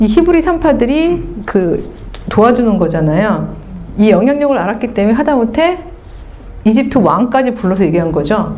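A woman with a fairly high pitch talks in an animated tone at a moderate pace, her pitch swinging very widely while her loudness stays very even. Noticeable background noise sits behind her. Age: 50s. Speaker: lecturer. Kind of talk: lecture. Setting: stage with audience.

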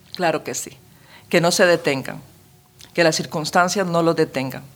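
Here a woman speaks at a moderate pace. Her intonation stays fairly even. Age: 60s. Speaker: pastor. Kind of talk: testimony.

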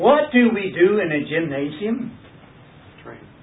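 With noticeable background noise and audible room echo, a man with a high pitch speaks at a very slow pace. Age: 60s. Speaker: Bible study teacher. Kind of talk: Bible study teaching.

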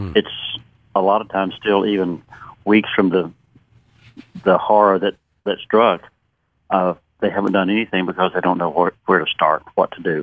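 With a Southern US accent, a man talks at a moderate pace in a very deep, low voice, using monotone, flat intonation and long, frequent pauses. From Western North Carolina. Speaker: retired pharmacist, disaster relief volunteer. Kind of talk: radio interview. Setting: phone call.

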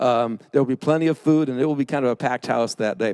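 An unremarkable speaking voice from a man, fairly quick in pace, with lively intonation. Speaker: pastor. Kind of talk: sermon. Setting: church.

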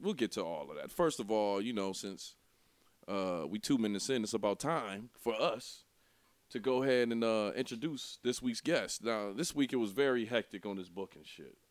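Recorded very cleanly against a silent background, a man speaks at a moderate pace with lively intonation and big swings in loudness. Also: medium pitch for a man. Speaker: podcast host. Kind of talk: casual banter.

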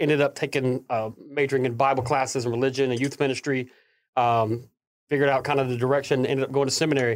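A man talks at a very fast pace in a fairly high pitch. His intonation stays monotone and flat. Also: very clean recording, silent background. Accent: Southern US. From US South, Tennessee and northern Alabama. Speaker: pastor. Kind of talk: casual interview chat.

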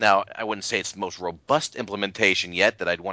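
A man's fairly low-pitched voice, a normal speaking voice with fairly even intonation. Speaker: Notes developer and screencast maker. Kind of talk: casual chat.

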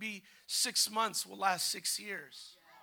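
Bright and sharp, this man's voice has an animated tone. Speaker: visiting preacher. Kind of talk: revival sermon, preacher in full flow. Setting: church with congregation. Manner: animated, fervent, urging the congregation to respond; exhorting, rhythmic, call-and-response.

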